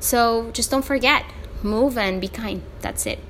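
With a Spanish accent, a woman talks at a moderate pace in an animated tone. Her pitch variation is ordinary. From El Salvador. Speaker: podcast host. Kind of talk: solo podcast monologue. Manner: halting, many fillers.

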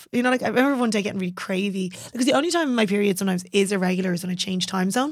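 A very fast woman's voice at medium pitch with a Dublin accent, hardly any pauses, and ordinary pitch variation. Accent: Dublin Irish. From Ireland, Dublin. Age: 30s. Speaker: personal trainer. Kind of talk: casual chat. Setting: studio.

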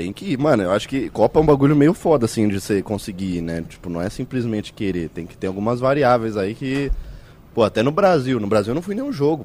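A man at a very fast pace, playful in tone, with very wide pitch swings. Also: medium pitch for a man, big swings in loudness. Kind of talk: casual banter, live podcast. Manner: joking, playful.

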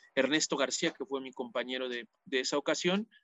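Music plays behind a man whose pitch shifts in an ordinary way. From Mexico, Toluca. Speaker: football commentator. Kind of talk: interview. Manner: halting, frequent repetitions.

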